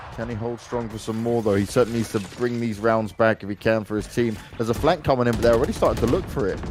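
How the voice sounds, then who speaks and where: Against noticeable background noise, a man with a London accent speaks very fast in a medium pitch, with hardly any pauses. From London, England. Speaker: esports commentator. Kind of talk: live commentary. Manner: animated.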